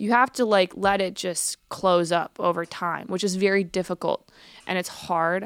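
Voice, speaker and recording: Delivered at a moderate pace with fairly even intonation, an ordinary speaking voice comes through a dry, close sound with no echo. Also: woman, medium pitch for a woman. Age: 20s. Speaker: guest talking about mental illness and addiction. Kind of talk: casual chat.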